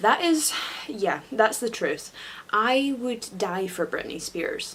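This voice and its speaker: Through noticeable background noise, a woman's voice comes across with ordinary pitch variation. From Scotland. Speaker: YouTuber. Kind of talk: casual vlog monologue. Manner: animated.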